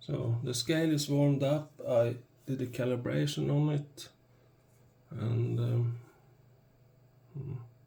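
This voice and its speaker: A man with a non-native accent, dark and mellow in tone and somewhat breathy, at a very slow pace with long, frequent pauses and ordinary pitch variation. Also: medium pitch for a man. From Sweden. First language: Swedish. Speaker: product reviewer. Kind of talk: product review tutorial. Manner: halting, hesitant.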